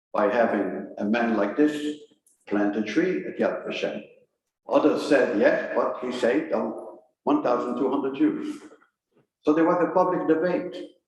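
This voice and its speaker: Audible room echo follows a man who speaks with long, frequent pauses. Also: moderate pace. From Belgium. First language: French. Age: 80s+. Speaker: historian. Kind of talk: lecture.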